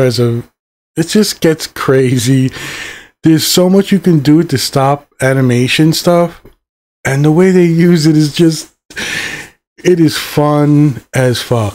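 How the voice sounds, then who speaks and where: A man with an ordinary speaking voice talks at a fairly high pitch, using ordinary pitch variation. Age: 50s. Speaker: YouTube reviewer. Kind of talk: solo review monologue. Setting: at home on a mic. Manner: casual, rambling with fillers.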